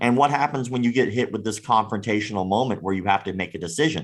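A man with an American accent uses a normal speaking voice at a fairly low pitch. His intonation is lively. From US South, Florida. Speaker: martial arts critic and YouTuber. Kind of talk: casual chat.

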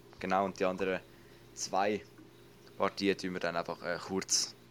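A man's very deep, low voice at a moderate pace, flat and monotone, in a very clean recording with a silent background. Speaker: podcast host. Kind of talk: casual chat.

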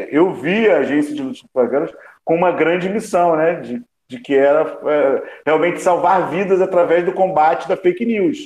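A man speaks at a high pitch and a moderate pace. His pitch variation is ordinary. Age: 50s. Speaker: journalist and news agency founder. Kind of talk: panel discussion.

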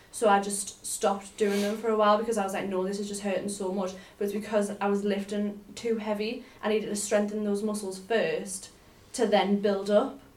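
Monotone, flat intonation at a fairly quick pace, with noticeable background noise. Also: woman, medium pitch for a woman. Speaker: podcast co-host. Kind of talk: casual chat.

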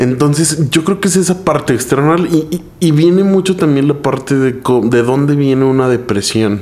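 Against noticeable background noise, a man with a fairly high pitch speaks at a moderate pace with ordinary pitch variation, very even loudness and hardly any pauses. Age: 20s. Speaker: stand-up comedian. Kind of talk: casual chat.

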